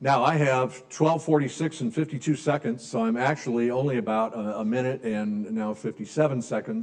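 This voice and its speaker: An American-accented man of medium pitch talks in an unremarkable speaking voice at a moderate pace with lively intonation. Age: 60s. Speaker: business strategy speaker. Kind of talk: lecture. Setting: room with live audience.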